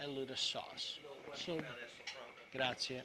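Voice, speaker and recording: A man speaks with an Italian accent at a fairly slow pace. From Italy, Rome region. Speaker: chef teaching cooking class. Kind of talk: cooking demonstration. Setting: live video stream cooking class. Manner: halting, repetitive.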